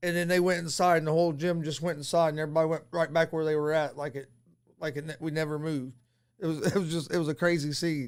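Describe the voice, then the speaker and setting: This is an ordinary speaking voice with fairly even intonation. The recording is very clean, with a silent background. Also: man. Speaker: wrestling promoter, announcer and manager. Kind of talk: interview answer. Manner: casual, conversational.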